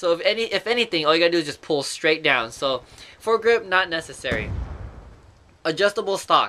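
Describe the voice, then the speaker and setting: With a raised, projected voice, a man speaks at a fairly quick pace in a high pitch, his tone bright and sharp and his intonation lively. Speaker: gaming youtuber. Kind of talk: gameplay commentary. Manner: casual, rambling with fillers.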